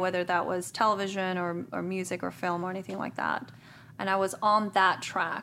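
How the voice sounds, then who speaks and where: A woman with a Spanish accent and a bright, sharp tone at a very fast pace, in a very clean recording with a silent background. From Guatemala. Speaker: podcast co-host. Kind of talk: casual chat.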